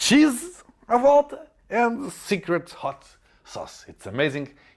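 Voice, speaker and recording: A man speaks with a Portuguese accent. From Portugal. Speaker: comedian. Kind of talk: comedic monologue. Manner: animated.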